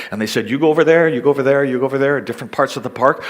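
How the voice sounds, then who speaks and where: A man with a Canadian accent, over noticeable background noise. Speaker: missionary. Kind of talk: seminar talk.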